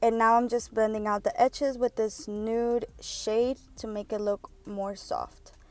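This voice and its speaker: Her voice fairly high in pitch, a woman talks with fairly even intonation. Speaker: beauty vlogger. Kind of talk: makeup tutorial voiceover. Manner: fast; casual.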